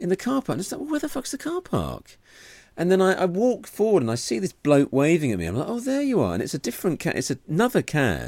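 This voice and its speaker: In an English accent, a man speaks very fast at a high pitch, his voice swinging very widely in pitch. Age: 40s. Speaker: comedian and podcast co-host. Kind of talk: casual chat. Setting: video call.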